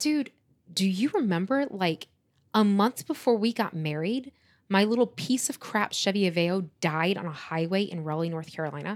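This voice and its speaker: Here a woman speaks in a normal speaking voice at a medium pitch, with lively intonation and a moderate pace. The recording is very clean, with a silent background. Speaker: podcast host, entrepreneur and vocalist. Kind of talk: casual chat between spouses.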